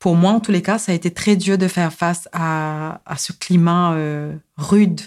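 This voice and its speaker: A woman at a very slow pace, fairly low in pitch, with monotone, flat intonation, on a very clean recording with a silent background. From Mauritius. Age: 40s. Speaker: psychosociologist and rights advocate. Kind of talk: personal testimony. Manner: halting, frequent hesitations.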